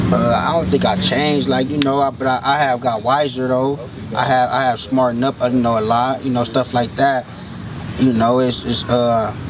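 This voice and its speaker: A man's monotone, flat delivery at a moderate pace, his loudness very even, in a dry sound with no echo and noticeable background noise. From Venice, Los Angeles, California; California. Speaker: rapper; interviewee. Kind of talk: casual interview. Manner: halting, repeats words often. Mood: calm, reflective, encouraging. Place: open country.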